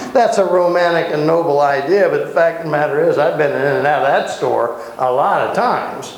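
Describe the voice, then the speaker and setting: A man at a fairly quick pace with hardly any pauses, against noticeable background noise. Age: 60s. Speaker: Bible teacher. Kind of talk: Bible study class teaching. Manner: animated.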